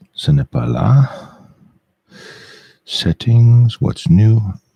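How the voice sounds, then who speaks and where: A man speaks in a somewhat breathy voice with a dark, mellow tone and very wide pitch swings. The sound is dry and close, with no echo. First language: French. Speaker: live streamer. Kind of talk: casual live stream monologue. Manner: halting, many fillers.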